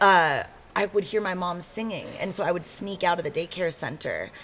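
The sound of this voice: A woman's fairly low voice with a fairly bright tone, lively intonation, a moderate pace and an American accent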